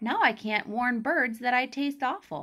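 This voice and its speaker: In a put-on character voice, a woman speaks at a high pitch with lively intonation. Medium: read story.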